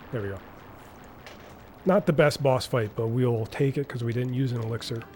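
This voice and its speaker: A man with a Wisconsin accent talks at a moderate pace and medium pitch with ordinary pitch variation. Music plays in the background. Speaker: speedrunner. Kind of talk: live gameplay commentary.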